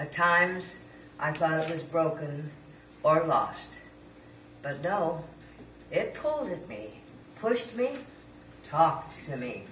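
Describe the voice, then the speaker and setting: A woman with a fairly low pitch talks at a very slow pace with long, frequent pauses, lively intonation and big swings in loudness. Noticeable background noise and audible room echo surround her voice. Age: 80s+. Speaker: senior poet and former performer. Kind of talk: reading aloud own poem.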